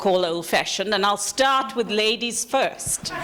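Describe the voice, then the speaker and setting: Pitch varies in an ordinary way as the words come fairly quickly. Background noise is noticeable throughout. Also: woman. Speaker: panel facilitator. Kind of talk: panel discussion moderation. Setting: conference room with audience. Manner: loud.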